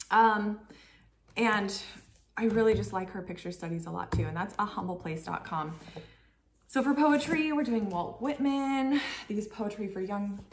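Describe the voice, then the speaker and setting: With audible room echo and light background noise, a woman talks at a fairly slow pace and medium pitch. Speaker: homeschooling parent vlogger. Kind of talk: casual tutorial vlog. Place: kitchen. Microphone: camera far.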